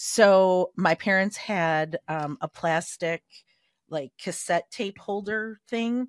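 Speaking at a very slow pace, a woman has a medium pitch and ordinary pitch variation. The sound is dry and close, with no echo. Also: quiet background. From Chicago, US. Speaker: podcast co-host and junior high teacher. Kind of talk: casual chat.

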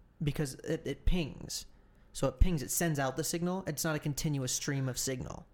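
Fairly even in intonation and fairly high in pitch, a man talks at a moderate pace in a plain, everyday voice. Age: 20s. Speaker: podcast co-host. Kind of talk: casual chat.

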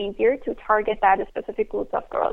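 A woman speaks with fairly high pitch. Noticeable background noise runs beneath her voice. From Afghan, raised in Iran. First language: Persian (Dari). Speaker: nonprofit founder. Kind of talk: interview. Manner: hesitant, many fillers.

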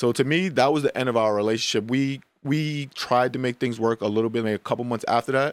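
A man's very fast, medium-pitched speech with fairly even intonation, dry and close with no echo, on a very clean recording with a silent background. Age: 30s. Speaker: podcast co-host and producer. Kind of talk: casual chat.

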